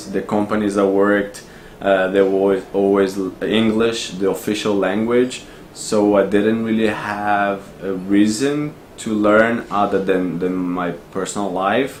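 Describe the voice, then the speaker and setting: With a Brazilian accent, a man speaks at a fairly low pitch in a flat monotone and at a fairly slow pace. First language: Portuguese. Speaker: expat office worker. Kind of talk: interview answer.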